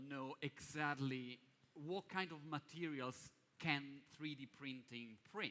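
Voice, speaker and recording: With an Italian accent, a man speaks in a bright, sharp tone at a fairly high pitch. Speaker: event moderator. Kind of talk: live event moderation. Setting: stage with audience. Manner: animated.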